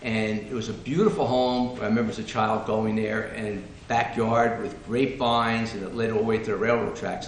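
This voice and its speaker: Noticeable background noise and audible room echo around a man's voice with an American accent. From New Jersey, Fords. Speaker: panel guest sharing local history. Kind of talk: reminiscing talk to audience.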